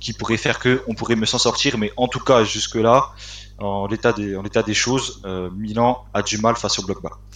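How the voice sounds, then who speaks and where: Over noticeable background noise, a man speaks at a moderate pace and a fairly low pitch with fairly even intonation. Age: 20s. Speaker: football fan page administrator. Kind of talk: casual chat.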